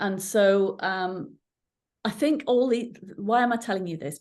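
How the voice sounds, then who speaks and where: Someone speaks with an English accent at a fairly slow pace. The background is quiet. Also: woman. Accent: English-sounding accent, stood out in Ireland. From England, Irish parents; moved to Northern Ireland at 13. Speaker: coach and coach trainer. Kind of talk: interview conversation.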